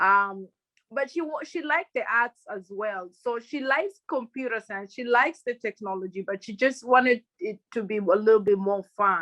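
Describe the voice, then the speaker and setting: With a Kenyan accent, a woman speaks in a bright, sharp tone at a fairly high pitch and with lively intonation. Her moderate pace comes through in a dry, close sound with no echo. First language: Luhya. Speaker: crypto and NFT advisor, former banker. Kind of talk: podcast interview.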